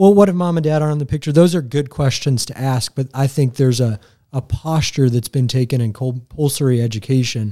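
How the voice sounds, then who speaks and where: In an American accent, the speaker talks at a fairly quick pace with ordinary pitch variation. The tone is dark and mellow, on a very clean recording with a silent background. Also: man. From Indiana (Greenfield). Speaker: school headmaster. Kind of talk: casual chat. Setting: studio.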